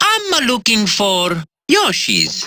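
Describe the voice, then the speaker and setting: This female-sounding voice is a put-on character voice set at a fairly high pitch. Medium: video game. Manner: cheerful, playful.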